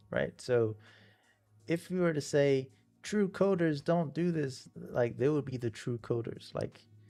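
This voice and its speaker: There is music in the background. A man speaks with ordinary pitch variation. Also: fairly slow pace. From Nigeria. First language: not English (third language). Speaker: game developer streamer. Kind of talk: live stream casual talk. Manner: rambling with many fillers and false starts.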